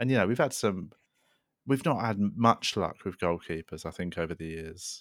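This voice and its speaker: Speaking with a London accent, a man talks at a fairly low pitch. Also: moderate pace, very clean recording, silent background. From South London. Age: 30s. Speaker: comedian. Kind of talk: casual chat.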